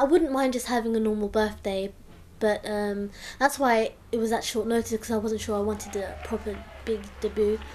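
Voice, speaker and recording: A woman with a London accent speaks at a moderate pace, her fairly high pitch held in fairly even intonation. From England, London (from the Philippines as a young child). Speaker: student. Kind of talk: interview testimony. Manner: casual.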